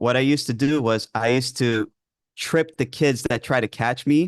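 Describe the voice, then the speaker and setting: Speaking with a New York accent, a man at medium pitch moves at a fairly slow pace with ordinary pitch variation over a quiet background. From New York, with early childhood in Greece. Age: 20s. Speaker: ADHD coach. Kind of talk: interview. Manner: hesitant, many fillers.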